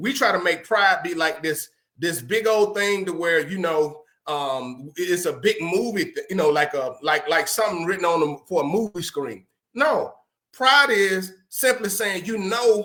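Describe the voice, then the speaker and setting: A man with a high pitch and a bright, sharp tone projects a raised voice at a fairly slow pace. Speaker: podcast host. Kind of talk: motivational talk. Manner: loud.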